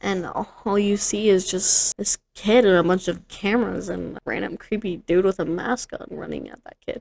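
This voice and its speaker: A woman mumbling at a moderate pace with hardly any pauses and big swings in loudness, the sound dry and close with no echo. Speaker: podcast co-host. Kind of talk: casual chat.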